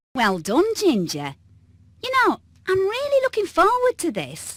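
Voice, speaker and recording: A put-on character voice sounding female and pitched extremely high delivers a gentle, cheerful tone at a moderate pace on a very clean recording with a silent background. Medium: video game.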